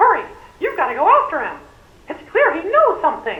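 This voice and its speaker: Delivered in a put-on character voice, the extremely high pitch makes very wide swings at a fairly quick pace. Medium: video game.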